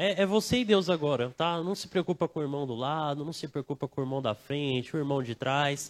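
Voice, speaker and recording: This man talks at a fairly quick pace with hardly any pauses, using a normal speaking voice pitched fairly high and ordinary pitch variation, on a very clean recording with a silent background. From Brazil, not Bahia. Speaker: preacher. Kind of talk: sermon. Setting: church service, livestreamed. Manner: casual, conversational.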